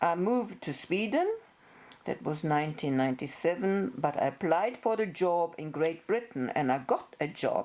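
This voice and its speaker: Speaking at a moderate pace with lively intonation, a woman with a German accent has a fairly low pitch. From Germany. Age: 60s. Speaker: veterinarian. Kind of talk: personal introduction video.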